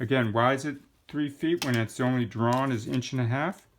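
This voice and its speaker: Very clean and set against a silent background, the recording captures a man with an unremarkable speaking voice at medium pitch, speaking at a moderate pace with ordinary pitch variation. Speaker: carpentry instructor. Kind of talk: tutorial.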